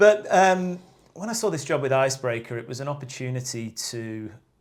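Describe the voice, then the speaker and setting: The intonation is lively and the pace moderate. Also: man. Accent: English. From northern England, Lake District. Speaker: outdoor brand sales rep. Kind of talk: casual podcast interview.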